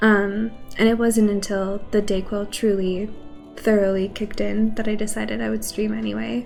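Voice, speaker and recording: Soft-spoken at a moderate pace, a woman talks over music in the background. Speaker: streamer. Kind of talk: casual livestream talk while gaming.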